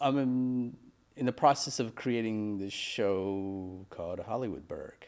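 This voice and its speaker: A man uses an unremarkable speaking voice with an American accent, medium pitch, and ordinary pitch variation. He talks at a fairly slow pace. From Pennsylvania, Mechanicsburg. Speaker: podcast host, filmmaker. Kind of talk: casual chat.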